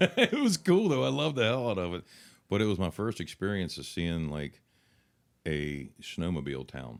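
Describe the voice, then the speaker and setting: Speaking in a West Virginia accent, a man with very deep, low pitch makes very wide pitch swings at a moderate pace, on a very clean recording with a silent background. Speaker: country singer. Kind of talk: interview answer. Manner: casual, friendly.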